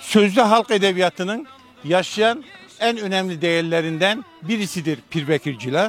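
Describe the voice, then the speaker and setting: Music plays in the background as a man talks at a fairly slow pace. His high voice has lively intonation. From Hatay, southern Turkey. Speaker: retired teacher and local author. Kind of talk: interview.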